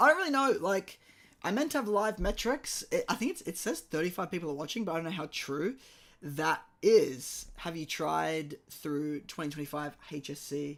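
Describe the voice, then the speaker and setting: The recording is very clean, with a silent background. On it, a man speaks at a high pitch. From Australia. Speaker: maths teacher. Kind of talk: live stream tutorial. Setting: live stream. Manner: casual, chatty.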